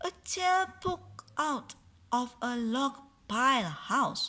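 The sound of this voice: Her voice is high-pitched and bright, sharp in tone, with lively intonation as the woman speaks at a slow pace.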